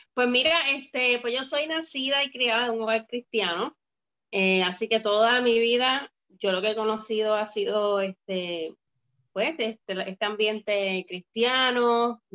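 A woman talks fairly slowly in a fairly high register, her pitch varying in an ordinary way, with an unremarkable speaking voice. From Puerto Rico, Bayamón. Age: young. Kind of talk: casual interview. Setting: live video stream.

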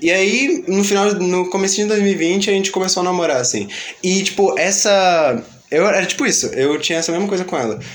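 Over noticeable background noise and audible room echo, a man talks at a fairly quick pace in a high pitch with ordinary pitch variation. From Rio de Janeiro, Realengo. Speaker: podcast host. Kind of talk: casual chat. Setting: studio.

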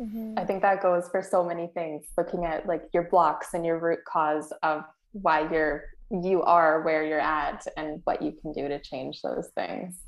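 A woman with a fairly low pitch speaks in an unremarkable speaking voice. Her intonation is fairly even and her pace fairly slow. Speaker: podcast co-host. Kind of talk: casual interview.

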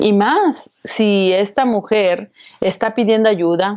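A woman speaks at a very slow pace. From Mexico. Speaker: event organizer and association president. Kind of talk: interview.

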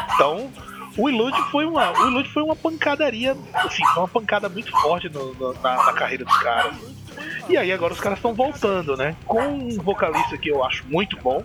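A man with a high pitch talks at a fairly quick pace in a raised, projected voice. His pitch swings very widely over noticeable background noise. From Northeast Brazil (Maceió, Alagoas). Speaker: metal podcast host. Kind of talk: casual chat. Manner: animated.

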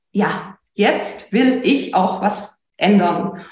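A woman's somewhat breathy voice with ordinary pitch variation, in a room with audible echo. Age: 30s. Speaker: business owner and coaching client. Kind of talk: interview.

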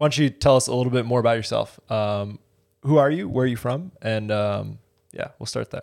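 With an unremarkable speaking voice, a man at medium pitch talks at a fairly quick pace with ordinary pitch variation. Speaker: podcast co-host. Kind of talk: casual interview chat.

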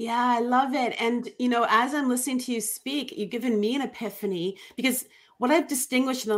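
In a Canadian accent, an unremarkable speaking voice moves at a fairly quick pace with ordinary pitch variation. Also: woman. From Ontario, Canada. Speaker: life coach. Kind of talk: interview.

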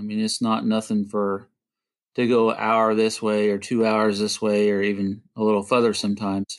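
Recorded very cleanly against a silent background, a man speaks at a moderate pace in a fairly low, monotone voice with flat intonation. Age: 40s. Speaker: HVAC technician. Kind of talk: casual interview chat. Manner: hesitant, many fillers.

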